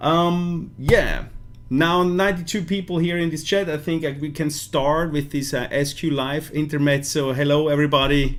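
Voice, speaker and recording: A man speaks at a moderate pace with a Swiss German accent, his pitch fairly high. His intonation stays fairly even, and audible room echo surrounds the voice. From Switzerland. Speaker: vape product maker presenting a launch. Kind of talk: live stream product presentation. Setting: live stream. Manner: hesitant, many fillers.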